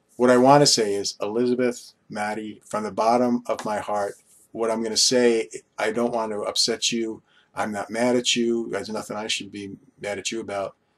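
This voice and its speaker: Flat, monotone delivery from a man with a Long Island accent, medium in pitch and moderate in pace. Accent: New York (Long Island). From Long Island, New York. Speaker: vlogger. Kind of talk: casual monologue vlog. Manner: rambling with many fillers.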